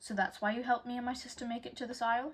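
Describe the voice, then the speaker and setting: A woman at a very fast pace, her voice somewhat breathy. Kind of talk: audiobook chapter reading. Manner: occasionally stumbles over words.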